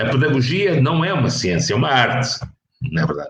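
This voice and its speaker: A medium-pitched man at a moderate pace. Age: 60s. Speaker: professor. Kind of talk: interview. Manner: halting.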